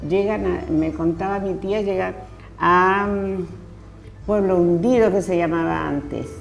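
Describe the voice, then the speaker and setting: Music plays in the background as a woman speaks at a very slow pace, with audible room echo. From northern Chile (nitrate pampas, first region). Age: 70s. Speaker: poet and teacher. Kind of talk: interview.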